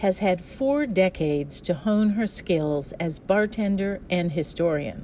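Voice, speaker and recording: A woman speaks at a fairly slow pace with a medium pitch and a dark, mellow tone. Her pitch swings very widely. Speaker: podcast host. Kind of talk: casual interview conversation. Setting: studio.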